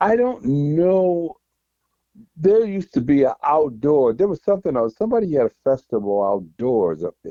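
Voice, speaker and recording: A man with a fairly high pitch speaks at a moderate pace, his pitch swinging very widely. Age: 70s. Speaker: touring keyboard musician. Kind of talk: casual interview.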